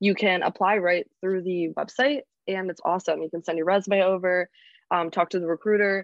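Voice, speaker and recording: A normal speaking voice with an American accent moves at a moderate pace with fairly even intonation. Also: woman. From North Carolina, Charlotte. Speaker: recent graduate. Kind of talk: interview. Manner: casual, many fillers.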